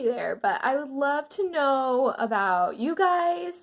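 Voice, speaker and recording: A woman speaks at a high pitch with very wide pitch swings, in a very clean recording with a silent background. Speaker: lifestyle vlogger. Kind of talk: casual vlog talk to camera. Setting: at home, handheld camera. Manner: chatty, filler-heavy.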